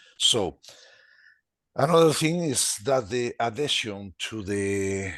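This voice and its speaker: Against a quiet background, a man speaks with a Spanish accent. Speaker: webinar participant, health technology expert. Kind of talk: webinar discussion. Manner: halting.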